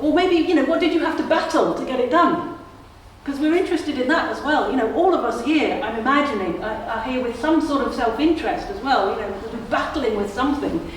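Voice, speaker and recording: Amid noticeable background noise and audible room echo, a woman with a Sussex accent speaks fairly quickly at a high pitch with lively intonation. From southern England (Sussex). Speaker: event moderator. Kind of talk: panel discussion.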